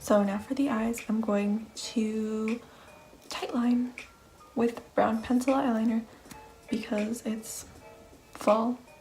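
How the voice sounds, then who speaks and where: Music plays in the background. A soft-spoken woman whispers. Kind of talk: makeup tutorial voiceover. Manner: whispered, soft-spoken.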